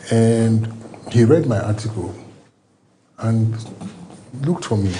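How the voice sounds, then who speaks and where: A man speaks at a moderate pace with a medium pitch. Room echo can be heard in the recording. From Nigeria. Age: 60s. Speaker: former government agency head. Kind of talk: TV interview.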